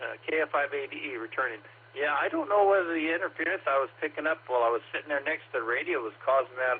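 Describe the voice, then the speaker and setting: At a very fast pace, a man talks at a fairly high pitch with ordinary pitch variation, over noticeable background noise. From Oklahoma. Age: 60s. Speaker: amateur radio operator checking into a net. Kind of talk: radio net check-in, casual chat. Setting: two-way radio transmission. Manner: halting, many fillers.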